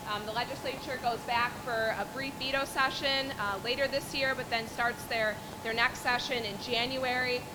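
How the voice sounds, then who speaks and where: A woman's high-pitched voice with monotone, flat intonation at a moderate pace, plus audible room echo and music in the background. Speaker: lobbyist. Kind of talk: speech to a meeting. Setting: event with audience, no PA system.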